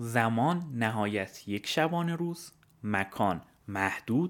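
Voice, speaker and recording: The speaker is a man talking at a very slow pace. His pitch swings very widely. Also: very clean recording, silent background. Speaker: podcaster. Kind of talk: scripted narration.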